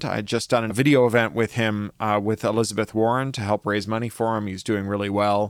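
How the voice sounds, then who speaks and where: An ordinary speaking voice with a Canadian accent moves at a fairly quick pace, in a very clean recording with a silent background and a dry, close sound with no echo. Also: man. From Canada. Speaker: podcaster and author. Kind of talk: reading aloud; casual chat.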